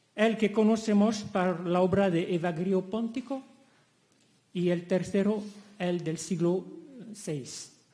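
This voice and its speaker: Over audible room echo, a man speaks very slowly in a high voice with fairly even intonation and long, frequent pauses. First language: French (speaking Spanish). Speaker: academic conference speaker. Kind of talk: conference lecture. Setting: conference hall.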